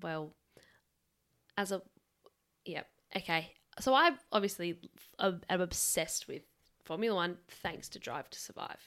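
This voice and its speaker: Long, frequent pauses mark a woman with an Australian accent who speaks at a fairly slow pace and medium pitch, with ordinary pitch variation and big swings in loudness. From Adelaide, Australia. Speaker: podcast co-host. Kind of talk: casual chat. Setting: home studio.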